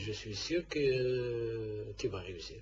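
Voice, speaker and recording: A man's voice sits at a medium pitch. Music plays behind it. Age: 60s. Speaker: football club president. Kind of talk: radio interview. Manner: halting.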